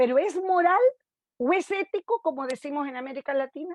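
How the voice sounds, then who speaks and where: The woman's pitch swings very widely. She keeps to a moderate pace. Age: 50s. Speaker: sociologist. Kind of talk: lecture. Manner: halting.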